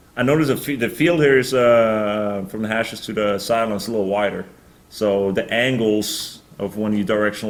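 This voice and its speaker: With a slight Norwegian accent, a man speaks at a fairly low pitch amid audible room echo. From Norway. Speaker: professional football punter. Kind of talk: press conference Q&A. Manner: halting, many fillers.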